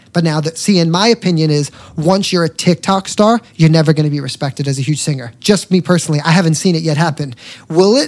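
This man talks at a very fast pace. His fairly high voice shows ordinary pitch variation. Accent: New York. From New York. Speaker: singer and social media entertainer. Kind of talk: casual chat. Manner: animated.

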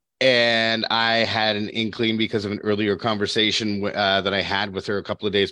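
Over a quiet background, a man with a fairly low pitch and a plain, everyday voice talks at a fairly quick pace. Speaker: podcast host. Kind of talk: casual interview. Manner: playful, jokey.

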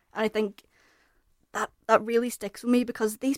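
With a Northern Irish accent, a woman speaks at a fairly quick pace and fairly high pitch, her intonation fairly even, in a very clean recording with a silent background. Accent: Northern Irish (Belfast). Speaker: podcast panelist. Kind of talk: casual chat.

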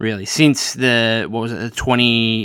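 A man with an Australian accent speaks at a medium pitch and moderate pace, in a dry, close sound with no echo. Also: very clean recording, silent background. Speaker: podcast host. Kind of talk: solo podcast monologue about basketball news. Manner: casual, conversational, with frequent filler words.

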